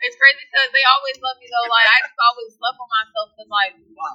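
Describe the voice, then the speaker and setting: Raised and projected, a woman's bright, sharp, animated voice moves at a fairly quick pace with ordinary pitch variation in a dry, close sound with no echo. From Virginia, Richmond. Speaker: hip-hop artist. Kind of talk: casual interview chat. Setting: sit-down interview.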